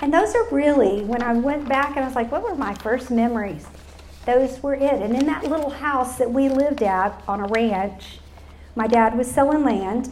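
In a Texas accent, a woman speaks at a high pitch and moderate pace with ordinary pitch variation, and the room echo is audible. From Texas Hill Country. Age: 60s. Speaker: speaker. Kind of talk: testimony. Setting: luncheon with live audience.

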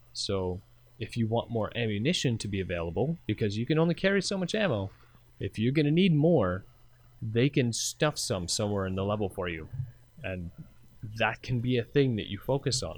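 The fairly quick speech swings very widely in pitch over a quiet background. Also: man, medium pitch for a man. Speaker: co-host. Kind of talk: casual chat.

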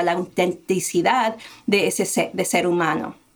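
A woman speaks in an unremarkable speaking voice. Her pitch variation is ordinary and her pace fairly slow. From United States, small town, Colombian family. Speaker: diversity and inclusion consultant. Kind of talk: interview.

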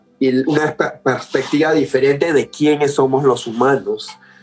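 A man speaks at a moderate pace in a fairly high pitch. His intonation is flat and monotone, with noticeable noise in the background. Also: hardly any pauses, very even loudness. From Peru (Lima). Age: 40s. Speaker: artist. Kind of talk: casual interview chat. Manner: hesitant, frequent fillers and repetitions.

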